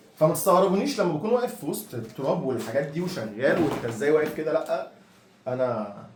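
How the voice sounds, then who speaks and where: A man's fairly high voice at a fairly quick pace, with very wide pitch swings, noticeable background noise and audible room echo. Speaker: house cleaner, vlogger. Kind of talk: casual vlog. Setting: apartment being cleaned. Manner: lowered voice, quiet.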